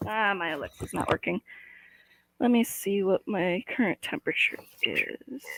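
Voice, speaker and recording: With an American accent, a woman uses lively intonation and a fairly high pitch, moving at a moderate pace broken by long, frequent pauses. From US Midwest. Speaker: livestream host. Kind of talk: casual chat.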